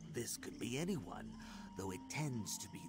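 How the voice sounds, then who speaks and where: Loud music plays in the background. Over it, a man talks in a put-on character voice. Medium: video game. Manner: hesitant, stammering.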